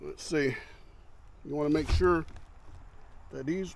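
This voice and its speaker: Speaking at a very slow pace, a man keeps his fairly high voice to fairly even intonation. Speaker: motorcycle vlogger. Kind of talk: tutorial. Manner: loud; casual.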